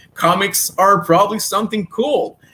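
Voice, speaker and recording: The speaker has a Quebec accent. The tone is bright and sharp. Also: man. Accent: French-Canadian accent in English. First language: French. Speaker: comic book writer and creator. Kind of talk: interview. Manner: halting, many repetitions and fillers.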